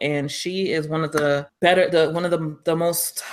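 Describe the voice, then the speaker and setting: A New York accent with fairly even intonation. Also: woman. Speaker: podcast co-host. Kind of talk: casual chat.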